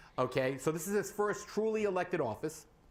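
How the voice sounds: Lively intonation comes through as the talk moves at a fairly quick pace. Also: man, high pitch for a man.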